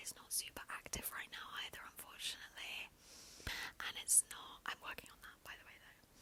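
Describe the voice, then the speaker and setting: A woman's whisper at a moderate pace, with big swings in loudness. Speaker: ASMR YouTuber. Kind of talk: ASMR whisper ramble, casual talk to camera. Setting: close microphone, handheld. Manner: whispered, up close, soft.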